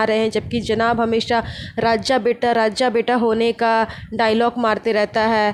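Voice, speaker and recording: Fairly high female tones amid clearly audible background noise. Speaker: gossip podcaster. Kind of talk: casual commentary podcast.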